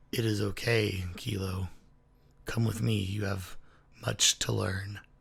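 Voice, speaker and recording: Putting on a character voice, a man speaks at a fairly slow pace with a raspy, fairly low-pitched sound. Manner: calm, reassuring.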